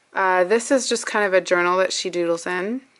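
The intonation of this woman's speech stays fairly even. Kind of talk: casual vlog chat. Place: home room. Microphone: phone near.

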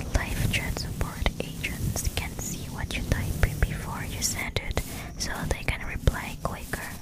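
Whispering and soft-spoken, a woman speaks at a fairly slow pace over loud background noise. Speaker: ASMR creator. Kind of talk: soft-spoken ASMR fact reading. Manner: soft close-mic ASMR whisper. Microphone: studio mic.

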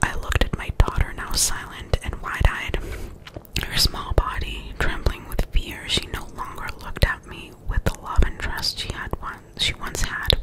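Whispering at a moderate pace, with big swings in loudness. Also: woman. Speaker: ASMR creator. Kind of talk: scary story reading. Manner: whispered, soft. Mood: spooky storytelling. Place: home room. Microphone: studio mic.

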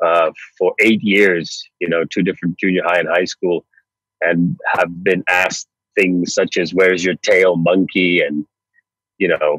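A man with a North Florida accent at a fairly slow pace, dry sound with no echo, quiet background. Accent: American, North Florida. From US, North Florida. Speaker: radio and TV presenter; radio, TV presenter. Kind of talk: podcast interview. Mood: reflective, recounting hard past. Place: car. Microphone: earbuds.

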